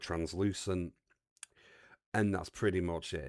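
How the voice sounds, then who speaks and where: The background is silent and the recording very clean. A man talks in an English accent. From England. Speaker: streamer. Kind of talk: casual chat.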